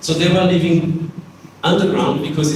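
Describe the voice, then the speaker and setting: Over noticeable background noise, a man talks in a room with audible echo. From France. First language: French. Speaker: architect and teacher. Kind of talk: lecture.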